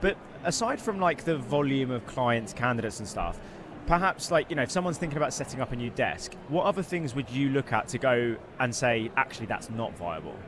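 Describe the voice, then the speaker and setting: A man with an English accent speaks at a fairly quick pace, his pitch medium and his intonation lively. Noticeable background noise runs under his voice. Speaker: recruitment podcast host. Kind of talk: casual interview chat. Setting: live at an expo. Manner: fast.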